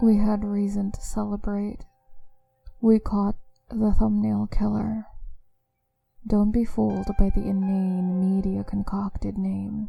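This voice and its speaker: A woman talks at a very slow pace with long, frequent pauses. Music plays in the background. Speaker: voice actor. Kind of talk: horror story narration.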